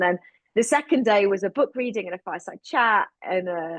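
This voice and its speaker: A woman speaks fairly quickly with a British accent. The sound is dry and close, with no echo. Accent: still sounds very British. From United Kingdom. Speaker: producer, director and LGBTQ advocate. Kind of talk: interview. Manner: energetic.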